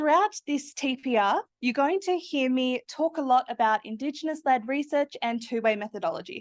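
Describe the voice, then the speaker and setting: A woman with an Australian accent speaks at a high pitch with lively intonation and hardly any pauses. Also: moderate pace. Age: 20s. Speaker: PhD student. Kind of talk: academic presentation. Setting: seminar room with audience.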